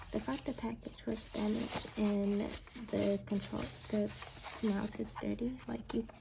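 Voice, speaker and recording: Soft-spoken, a woman talks with an American accent. Noticeable background noise sits behind her. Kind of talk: ASMR unboxing talk to camera.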